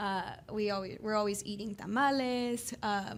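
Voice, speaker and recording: In a Texan accent, a woman with a fairly high pitch speaks at a moderate pace with fairly even intonation. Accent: Texan American English. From Houston, Texas. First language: bilingual English and Spanish from childhood. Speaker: guest, office worker. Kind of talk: interview. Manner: halting, many fillers.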